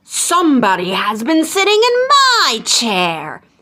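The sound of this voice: High pitch and a fairly slow pace in a put-on character voice.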